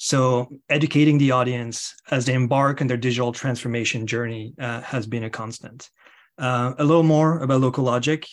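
At a moderate pace and medium pitch, a man speaks with a French accent, fairly even intonation and a quiet background. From France. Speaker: tech company executive. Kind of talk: interview. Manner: halting.

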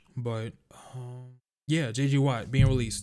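A man with a medium-pitched voice and fairly even intonation, in a New York accent. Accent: New York (Bronx). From New York City (Bronx). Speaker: sports podcast host. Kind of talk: casual sports talk monologue. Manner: casual, filler-heavy.

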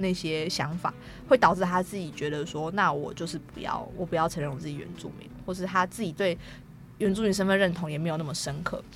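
Music plays in the background as a woman speaks at a fairly quick pace. Her pitch is fairly low, with ordinary variation. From Taiwan, Taoyuan (Daxi). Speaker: film student, Atayal. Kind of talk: interview.

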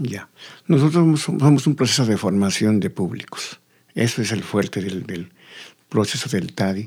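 Lively intonation marks this man's medium-pitched speech at a moderate pace, in a very clean recording with a silent background. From Bolivia, La Paz. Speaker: folk culture teacher. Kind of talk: interview. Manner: halting, repeating words.

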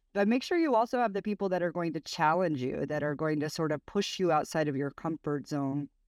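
On a dry, close sound with no echo and a quiet background, a woman with an American accent and an ordinary speaking voice talks at a fairly quick pace with lively intonation. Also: fairly low pitch for a woman, hardly any pauses. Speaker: tech executive. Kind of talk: interview. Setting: hotel room, remote call.

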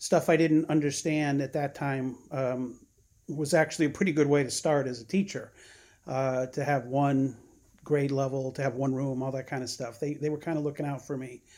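Using an ordinary speaking voice with an American accent, a man speaks at a fairly high pitch and a moderate pace, his intonation fairly even, in a very clean recording with a silent background. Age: 60s. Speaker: retired teacher. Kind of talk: casual chat.

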